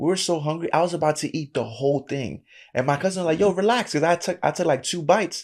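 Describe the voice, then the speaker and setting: A man with a fairly high pitch speaks at a very fast pace on a very clean recording with a silent background. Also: ordinary pitch variation. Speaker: anime podcast host. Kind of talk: casual chat. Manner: loud at times in reactions.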